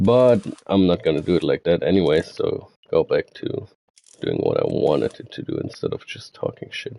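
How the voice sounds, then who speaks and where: A German accent, with big swings in loudness. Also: man, moderate pace. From Germany. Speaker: gaming streamer. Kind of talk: tutorial. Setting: live stream. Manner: mumbling; halting.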